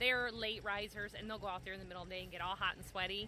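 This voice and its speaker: A woman speaks over noticeable background noise. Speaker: small farmer and homesteader. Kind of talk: casual vlog narration. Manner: fast; loud.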